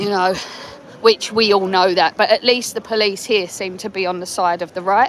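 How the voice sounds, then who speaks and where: Over crowd noise in the background, a woman with an English accent speaks at a moderate pace and medium pitch, with fairly even intonation and long, frequent pauses. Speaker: livestreamer at a protest march. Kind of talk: live street vlog. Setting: outdoors at a march. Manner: casual, rambling with fillers.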